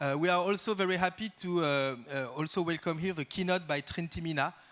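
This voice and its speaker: A man at a moderate pace, with a French accent. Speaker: art institution director. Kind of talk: welcome speech. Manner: halting, many fillers.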